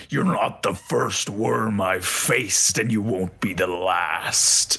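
Putting on a raspy character voice, a man speaks at a fairly low pitch and fairly slow pace, with light background noise behind him. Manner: defiant, taunting.

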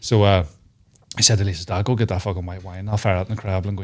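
A Northern Irish accent against a quiet background. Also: man. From Northern Ireland. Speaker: comedian. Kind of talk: casual chat. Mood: jokey, storytelling. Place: studio. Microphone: studio mic.

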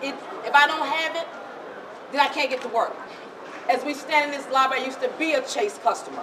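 A woman speaks in a raised, projected voice at a high pitch. Her intonation is monotone and flat, with crowd noise in the background. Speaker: transit rider activist. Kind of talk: protest speech. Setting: bank lobby protest. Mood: indignant, determined. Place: hall. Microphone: camera far.

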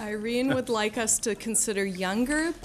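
Noticeable background noise sits behind a woman with an American accent. She speaks at a moderate pace with ordinary pitch variation. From Minnesota. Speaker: state senator. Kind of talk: presenting a bill at a committee hearing. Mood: polite, lightly humorous. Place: hall. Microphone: podium.

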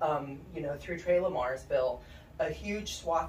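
A woman's voice comes through with audible room echo and light background noise. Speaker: guest. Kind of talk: interview answer. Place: studio.

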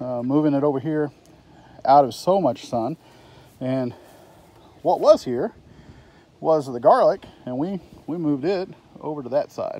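Recorded dry with no echo, a man with a dark, mellow tone speaks at a moderate pace with ordinary pitch variation and long, frequent pauses. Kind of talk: casual vlog chat. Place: garden. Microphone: phone near.

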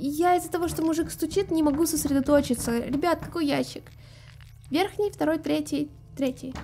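With faint music in the background, a woman speaks at a high pitch and a moderate pace, with ordinary pitch variation and long, frequent pauses. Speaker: game streamer. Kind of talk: reading game dialogue aloud with casual commentary. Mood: irritated by knocking. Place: home room. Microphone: studio mic.

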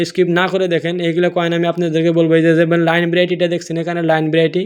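A man's high-pitched voice with a non-native accent. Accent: non-native Bengali speaker. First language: not Bengali; another mother tongue (speaking Bengali). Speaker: coin collecting video creator. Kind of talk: tutorial. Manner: casual, repetitive.

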